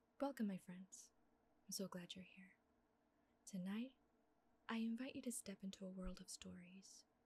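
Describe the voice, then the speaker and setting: The speaker is soft-spoken. Long pauses come often. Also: moderate pace. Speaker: ASMR artist. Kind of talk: sleep story.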